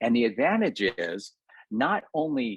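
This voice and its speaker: A man with a plain, everyday voice, lively intonation and a moderate pace. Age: 60s. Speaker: cosmetic dentist and entrepreneur. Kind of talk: podcast interview.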